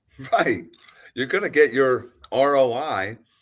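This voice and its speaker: A normal speaking voice comes through, its pitch varying in an ordinary way. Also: man. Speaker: podcast host. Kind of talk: podcast interview talk.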